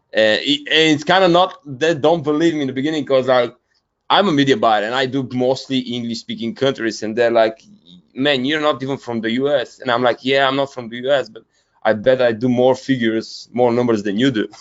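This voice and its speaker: A man with a Bulgarian accent speaks at a fairly quick pace. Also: medium pitch for a man, ordinary pitch variation. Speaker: media buyer, business founder. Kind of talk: interview. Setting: video call. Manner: halting, many fillers.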